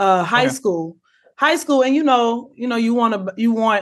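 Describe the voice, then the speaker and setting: A woman talks at a moderate pace in an ordinary speaking voice. Her pitch variation is ordinary, and the background is quiet. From Chicago. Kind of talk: casual chat.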